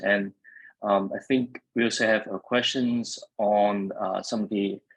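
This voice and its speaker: In a dry, close recording with no echo, a man with a fairly low pitch speaks fairly slowly in a monotone, flat way. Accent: Vietnamese. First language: Vietnamese. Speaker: event moderator. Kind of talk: webinar panel moderation. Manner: hesitant, many fillers.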